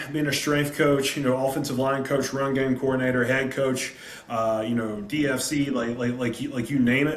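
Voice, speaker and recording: With a Southern US accent, a man talks at a fairly quick pace and medium pitch with ordinary pitch variation, amid audible room echo and noticeable background noise. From South Carolina. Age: 30s. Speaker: high school football coach. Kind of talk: presentation on a video call. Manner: animated.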